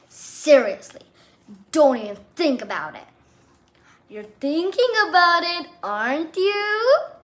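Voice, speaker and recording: A woman speaks in a put-on character voice at an extremely high pitch, her pitch swinging very widely. She talks at a fairly slow pace with long, frequent pauses. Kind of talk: read-aloud character voice. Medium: read story.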